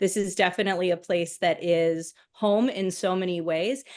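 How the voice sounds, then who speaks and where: A woman with an American accent speaks in an unremarkable speaking voice at a medium pitch and moderate pace, with ordinary pitch variation over a quiet background. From US Midwest, Michigan. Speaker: history education professor, former teacher. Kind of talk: online panel discussion.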